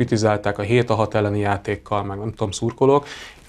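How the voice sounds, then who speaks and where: At a moderate pace, a man talks with monotone, flat intonation. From Hungary. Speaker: handball pundit. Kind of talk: casual chat; talk show discussion. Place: studio. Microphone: lapel.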